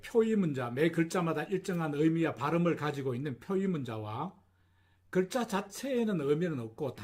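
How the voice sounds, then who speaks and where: This man has a Gyeongsang accent and a fairly high pitch that swings very widely. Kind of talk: instructional, lecture-like.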